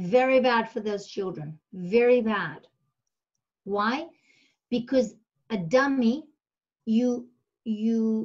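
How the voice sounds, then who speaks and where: Somewhat breathy and fairly high-pitched, a woman speaks at a very slow pace with ordinary pitch variation. She leaves long, frequent pauses. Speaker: special education expert. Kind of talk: webinar lecture. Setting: online webinar. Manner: repetitive stammering fillers.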